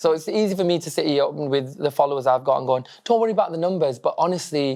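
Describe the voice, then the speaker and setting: A man with a northern English accent, talking very fast, on a very clean recording with a silent background. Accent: northern English accent, noticeable. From northern England, Blackburn, Lancashire. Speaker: social media comedian, former teacher. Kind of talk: casual interview chat. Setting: stage with live audience, lecture theatre.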